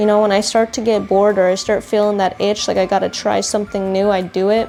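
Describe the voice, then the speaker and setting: Over background music, a woman talks at a very fast pace with a slight non-native accent. Her intonation is monotone and flat, and her loudness stays very even. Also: medium pitch for a woman. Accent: slight foreign touch, mispronounces words. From grew up in current country, immigrant family. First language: not English. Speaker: lifestyle vlogger. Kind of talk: casual vlog chat.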